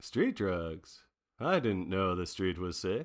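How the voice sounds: Faint music sits behind a very clean recording with a silent background as a put-on character voice moves slowly through big pitch swings. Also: man, low pitch for a man.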